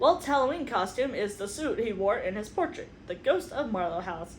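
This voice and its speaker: A woman with a fairly high voice speaks at a moderate pace, her pitch swinging very widely over noticeable background noise. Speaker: book reviewer (booktuber). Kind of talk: casual talk to camera, book review. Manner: chatty, conversational, informal.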